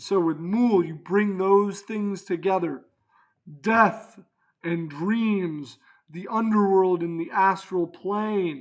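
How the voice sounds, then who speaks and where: A middle-pitched voice at a very slow pace. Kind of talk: pro wrestling promo. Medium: solo performance. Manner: loud, hyped, rhetorical questions.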